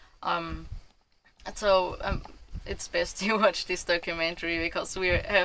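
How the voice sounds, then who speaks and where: At a fairly slow pace, the speaker uses a German accent and leaves long, frequent pauses. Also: woman. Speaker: vlogger. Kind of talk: casual chat. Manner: halting.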